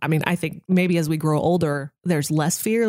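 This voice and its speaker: A woman with an unremarkable speaking voice talks at a moderate pace and a fairly low pitch. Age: 30s. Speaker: radio host. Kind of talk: casual chat.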